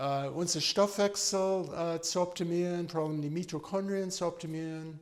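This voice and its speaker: Fairly slow in pace, this man speaks with a high pitch. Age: 60s. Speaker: medical doctor. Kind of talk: informal health talk. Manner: halting, many fillers.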